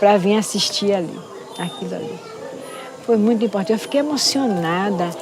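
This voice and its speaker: Noticeable background noise and audible room echo both come through as a woman speaks. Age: 70s. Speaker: Candomblé priestess. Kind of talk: interview testimony.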